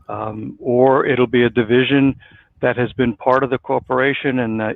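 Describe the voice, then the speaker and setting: This man has a New York accent. His intonation is monotone and flat. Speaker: business consultant. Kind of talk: interview.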